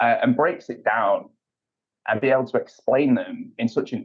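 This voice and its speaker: A man speaks fairly quickly with a British accent. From UK. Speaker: payments executive. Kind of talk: podcast interview. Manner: hesitant, repeats words.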